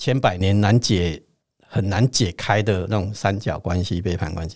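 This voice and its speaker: The recording is very clean, with a silent background, and a man speaks at a moderate pace with ordinary pitch variation. His is an unremarkable speaking voice, fairly low in pitch. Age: 50s. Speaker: spiritual teacher and astrologer. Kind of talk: teaching chat.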